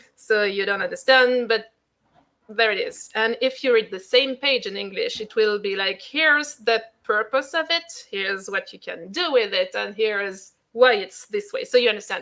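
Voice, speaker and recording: With a French accent, a woman speaks at a moderate pace and a fairly high pitch, her bright, sharp tone showing ordinary pitch variation. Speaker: tarot author. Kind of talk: interview. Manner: halting.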